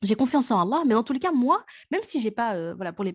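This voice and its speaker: A woman with a normal speaking voice, fairly high pitch, lively intonation and a fairly quick pace, on a very clean recording with a silent background. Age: 30s. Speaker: podcast host. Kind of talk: casual chat.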